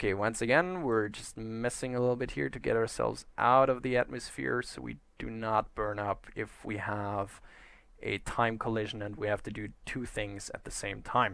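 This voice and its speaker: A man speaks with a German accent at a medium pitch and moderate pace. Pitch variation is ordinary, on a very clean recording with a silent background. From German-speaking Europe. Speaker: gaming YouTuber. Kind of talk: gameplay commentary. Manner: casual, chatty.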